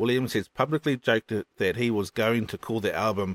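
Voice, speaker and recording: Speaking with a New Zealand accent, a man talks at a moderate pace with a fairly low pitch and ordinary pitch variation, in a very clean, silent-background recording that is dry and close with no echo. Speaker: podcast host. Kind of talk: upbeat radio DJ patter, cheerful lead-in to a song segment. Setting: home recording, fan running in background. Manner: chatty, warm, enthusiastic.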